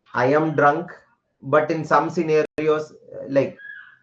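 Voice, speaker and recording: A man with a Keralan accent, at a very slow pace. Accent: Indian English, Malayali. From India, Kerala. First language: Malayalam. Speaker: teacher. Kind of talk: lecture. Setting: live online class. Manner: code-switching Hindi and English.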